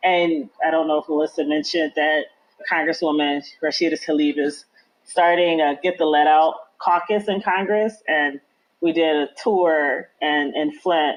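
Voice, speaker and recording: A woman's very deep, low pitch, with very even loudness, fairly even intonation and a fairly slow pace. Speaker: community activist. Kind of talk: interview. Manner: casual, many fillers.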